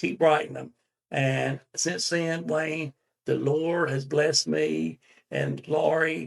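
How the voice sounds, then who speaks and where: A man speaks with a North Carolina accent. His pitch is fairly high and his pace fairly slow. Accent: Southern US (North Carolina). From US South, Winston-Salem, North Carolina. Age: 70s. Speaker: songwriter. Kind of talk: interview. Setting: studio.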